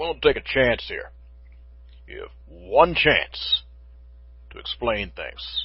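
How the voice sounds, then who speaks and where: A man does a raspy, put-on character voice. He speaks at a fairly slow pace. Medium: read story.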